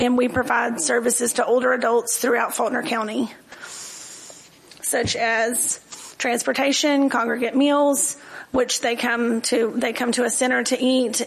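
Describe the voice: A woman's raspy, fairly high voice with vocal fry, at a fairly slow pace.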